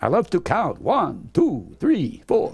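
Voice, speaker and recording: A put-on, theatrical character voice in an Eastern European accent, at a fairly slow pace. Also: man. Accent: Slavic, Eastern European. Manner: theatrical, counting.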